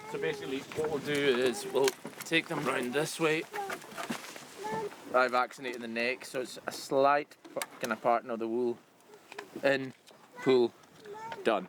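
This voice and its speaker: A man speaks at a moderate pace and medium pitch, with ordinary pitch variation. He leaves long, frequent pauses over noticeable background noise. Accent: Hebridean. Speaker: crofter. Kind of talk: instruction.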